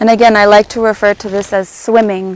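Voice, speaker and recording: Her voice is a woman's, pitched fairly high. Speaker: movement teacher. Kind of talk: guided movement class. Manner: loud; halting.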